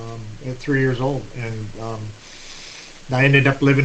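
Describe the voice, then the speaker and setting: A man talks at a moderate pace with medium pitch and fairly even intonation over noticeable background noise. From Scotland, moved to US as child. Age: 60s. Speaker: interview guest. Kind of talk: casual interview, life story. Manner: frequent fillers and hesitations.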